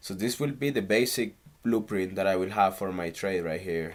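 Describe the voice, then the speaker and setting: A man with a Spanish accent speaks at a moderate pace in a fairly low pitch, on a very clean recording with a silent background. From Canary Islands, Spain. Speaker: stock trader. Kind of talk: casual screen-recorded trading tutorial.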